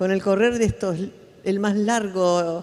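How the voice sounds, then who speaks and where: A woman with an Argentine accent talks at a moderate pace, her medium pitch kept in fairly even intonation. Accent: Argentine Spanish (Rioplatense). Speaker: human rights activist. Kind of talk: conference talk.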